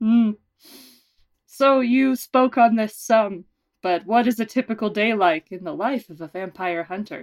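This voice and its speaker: In an unremarkable speaking voice, a woman talks fairly slowly at a fairly high pitch with ordinary pitch variation. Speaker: podcast host and producer. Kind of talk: mock serious interview, comedy.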